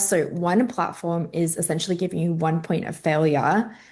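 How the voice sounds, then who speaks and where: Noticeable background noise sits behind a woman with an Australian accent. She speaks at a moderate pace, fairly low in pitch, with fairly even intonation. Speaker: influencer and entrepreneur. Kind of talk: online summit talk.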